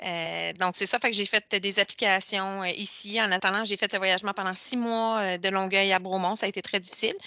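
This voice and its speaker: A woman talks fairly quickly with hardly any pauses, her medium-pitched voice bright and sharp but flat and monotone. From Quebec, Boucherville (South Shore of Montreal). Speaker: physiotherapy technologist. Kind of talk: interview. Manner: hesitant, many fillers.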